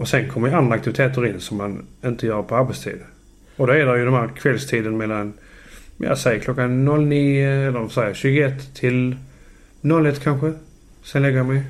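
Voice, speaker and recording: A man at a medium pitch and moderate pace, with fairly even intonation and long, frequent pauses. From southern Sweden (Landskrona, Skåne). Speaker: electrician. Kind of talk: casual chat. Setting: home kitchen.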